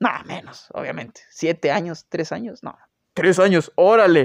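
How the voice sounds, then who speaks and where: A man's high-pitched voice with a Mexican accent, fairly slow, with ordinary pitch variation and a dry, close sound with no echo. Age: 20s. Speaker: podcast host. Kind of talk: casual storytelling monologue.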